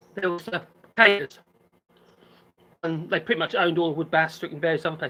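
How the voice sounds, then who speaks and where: Mumbling at a very fast pace, the speaker has a slight Norfolk accent. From England, Norfolk. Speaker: island resident on a live stream. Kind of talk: casual chat.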